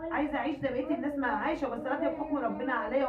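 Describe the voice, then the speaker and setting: The speech comes at a very fast pace in an Egyptian accent. Audible room echo and noticeable background noise fill the recording. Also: woman. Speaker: home cooking vlogger. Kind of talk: casual vlog talk to viewers. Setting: at home.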